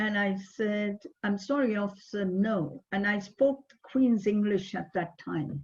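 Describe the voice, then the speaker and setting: A woman with a somewhat breathy voice and a medium pitch speaks at a fairly slow pace. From India. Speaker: psychotherapist. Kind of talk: webinar talk.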